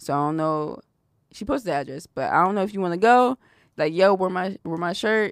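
The recording is very clean, with a silent background and a dry, close sound with no echo. A woman of medium pitch talks at a fairly quick pace with lively intonation. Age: 20s. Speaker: podcast host. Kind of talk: casual chat.

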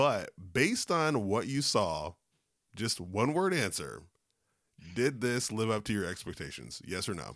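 A man's fairly low voice with vocal fry, animated in tone, at a fairly slow pace with long, frequent pauses and very wide pitch swings. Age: 30s. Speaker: podcast host. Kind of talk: casual chat.

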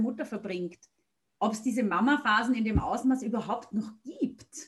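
A somewhat breathy woman speaks at a fairly slow pace with a fairly high pitch. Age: 40s. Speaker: podcast host and blogger. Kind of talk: interview.

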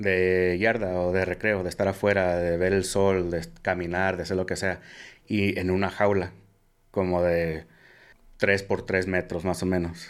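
In a very clean recording with a silent background, a man with a very deep, low pitch speaks at a fairly slow pace in a monotone, flat intonation. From US Midwest, Omaha, Nebraska. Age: 30s. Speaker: cybersecurity engineer. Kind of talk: casual interview. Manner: halting.

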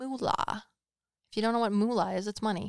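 On a very clean recording with a silent background, a woman speaks in a plain, everyday voice at a fairly high pitch. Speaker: psychic medium podcast co-host. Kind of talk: casual chat.

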